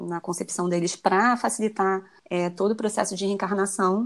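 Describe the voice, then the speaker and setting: A woman with a plain, everyday voice speaks at a moderate pace, her medium pitch carried in fairly even intonation. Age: 30s. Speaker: dentist and vegan recipe influencer. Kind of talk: casual interview chat.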